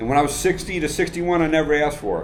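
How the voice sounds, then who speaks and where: A man talking very fast, with noticeable background noise and audible room echo. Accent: American. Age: 60s. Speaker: retired military officer, expat. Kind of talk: casual interview.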